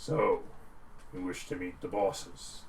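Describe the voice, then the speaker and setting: A man talks in a put-on character voice at a fairly slow pace. Background noise is clearly audible. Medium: actual play. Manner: formal, brief.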